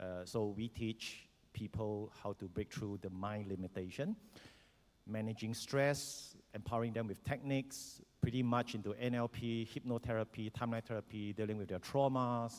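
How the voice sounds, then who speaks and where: This man has a Singaporean accent and a medium pitch. He keeps a moderate pace with fairly even intonation. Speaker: educator and former soldier. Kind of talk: panel self-introduction. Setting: conference stage with audience. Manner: hesitant, many fillers.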